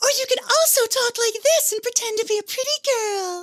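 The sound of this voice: Using a put-on character voice, a man goes into falsetto at an extremely high pitch. His pace stays moderate.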